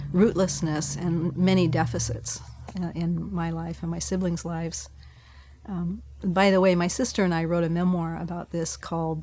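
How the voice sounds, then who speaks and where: A woman talks at a moderate pace, with audible room echo around her voice. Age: 70s. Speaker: farmer and abbess, retired theology professor. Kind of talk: interview.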